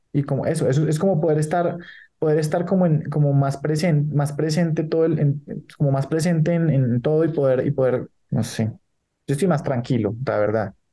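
With a dark, mellow tone and a somewhat breathy edge, a man talks at a fairly high pitch and a moderate pace, his loudness very even and his pitch variation ordinary. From Colombia. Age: 30s. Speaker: entrepreneur. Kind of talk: interview. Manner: halting, many repetitions.

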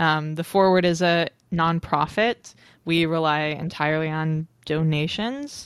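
This woman has an unremarkable speaking voice, fairly low in pitch, with fairly even intonation. She talks at a fairly slow pace against a quiet background. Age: 20s. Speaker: journalist and media manager. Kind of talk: casual chat.

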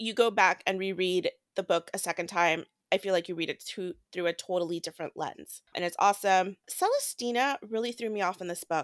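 A woman in a normal speaking voice talks at a fairly quick pace at a medium pitch with fairly even intonation, in a very clean recording with a silent background and a dry, close sound with no echo. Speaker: book podcast co-host. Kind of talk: casual chat.

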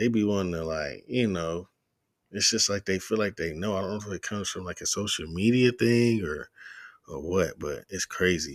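A man with a plain, everyday voice speaks at a moderate pace, his pitch fairly low and ordinarily varied. The recording is very clean, with a silent background. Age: 30s. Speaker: podcast host. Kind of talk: casual monologue. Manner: casual, many filler words.

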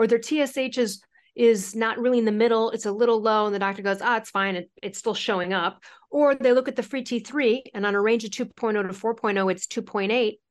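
Someone talks at a very fast pace with fairly even intonation over a quiet background. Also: woman, fairly high pitch for a woman. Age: 40s. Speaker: author and thyroid health expert. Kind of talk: interview.

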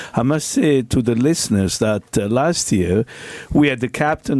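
A man with an unremarkable speaking voice at a moderate pace. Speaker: former footballer. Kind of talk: casual chat. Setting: studio.

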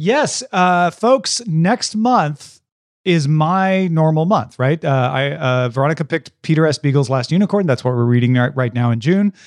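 Lively in intonation, a man with an unremarkable speaking voice talks at a fairly high pitch and a moderate pace, with very even loudness and a dry, close sound with no echo. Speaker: podcast host. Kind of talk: casual chat. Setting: remote recording.

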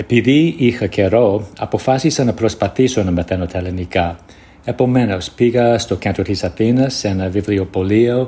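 A man with an English accent speaks at a moderate pace in a fairly low pitch. His tone is dark and mellow, somewhat breathy, with ordinary pitch variation. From United States. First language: English (speaking Greek). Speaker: Greek learner sending a listener voice message. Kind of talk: recorded voice message. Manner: halting, searching for words.

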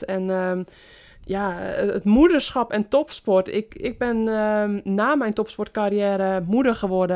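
A woman with an ordinary speaking voice talks at a fairly slow pace and medium pitch, her intonation fairly even over a quiet background. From West-Friesland, Netherlands. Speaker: podcast host, former pro cyclist. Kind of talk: interview.

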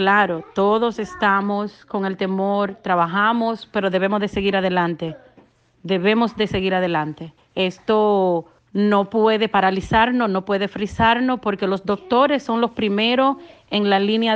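A woman with an unremarkable speaking voice talks at a medium pitch. Her pace is fairly slow, and her pitch varies in an ordinary way. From Dominican Republic. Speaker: daycare owner. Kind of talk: testimony.

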